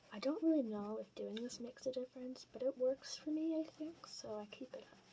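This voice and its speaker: A soft-spoken woman whispers at a fairly quick pace. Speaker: portrait artist, art channel creator. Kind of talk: casual tutorial talk over drawing timelapse.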